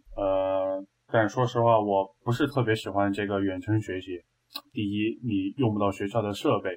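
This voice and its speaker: An unremarkable speaking voice belongs to this man. He keeps a moderate pace and fairly even intonation. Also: fairly low pitch for a man. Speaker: university student.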